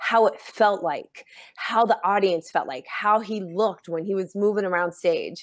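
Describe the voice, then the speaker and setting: Talking at a fairly slow pace, a woman has an unremarkable speaking voice at medium pitch with ordinary pitch variation. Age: 40s. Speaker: author and motivational speaker. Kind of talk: casual interview chat.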